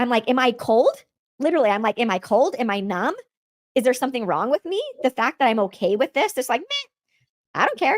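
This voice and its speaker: A woman talks in an animated tone at a high pitch, with very wide pitch swings and a fairly quick pace. Long, frequent pauses break up her speech, and the sound is dry and close with no echo. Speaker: podcast host. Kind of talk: personal testimony. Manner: fast when excited.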